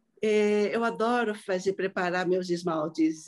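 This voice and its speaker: A woman with an unremarkable speaking voice talks fairly slowly at medium pitch, with ordinary pitch variation. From Brazil, southeast and Paraná. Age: 60s. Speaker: ceramic artist. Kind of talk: casual chat. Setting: video call.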